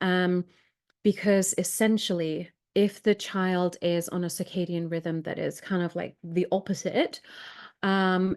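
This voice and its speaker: The speaker talks fairly slowly with a Welsh accent and monotone, flat intonation against a quiet background. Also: woman, medium pitch for a woman. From Wales. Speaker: sleep specialist. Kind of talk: live Q&A.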